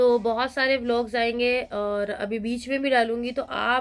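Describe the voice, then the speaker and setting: A woman speaks in a fairly high pitch. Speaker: vlogger. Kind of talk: casual vlog talk.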